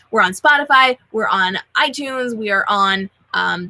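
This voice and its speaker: An animated, fairly high-pitched woman with lively intonation, in a dry, close sound with no echo. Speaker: social media educator and show host. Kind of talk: live show outro. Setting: livestream. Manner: fast.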